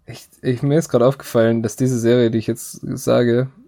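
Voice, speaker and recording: A man speaks with monotone, flat intonation at a medium pitch. His tone is dark and mellow, and his pace is moderate. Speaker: podcast host. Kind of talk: casual chat.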